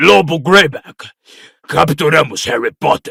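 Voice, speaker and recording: In a put-on character voice, a man growls out menacing, raspy lines at a fairly high pitch and a fairly slow pace. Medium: audio drama. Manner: menacing, greedy.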